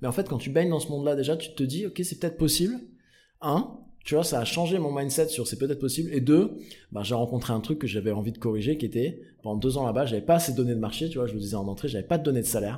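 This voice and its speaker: A somewhat breathy man with a fairly high pitch and a dark, mellow tone speaks at a very fast pace with lively intonation. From southern France, Provence/Marseille. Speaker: startup founder and CEO. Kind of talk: casual interview.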